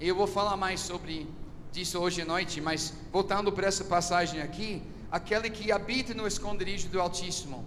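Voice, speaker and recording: Audible room echo and noticeable background noise surround a man whose high-pitched voice keeps fairly even intonation. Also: fairly quick pace. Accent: American. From USA, Philadelphia. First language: English (speaking Portuguese). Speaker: visiting preacher. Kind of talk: sermon. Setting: church service. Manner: halting, searching for words.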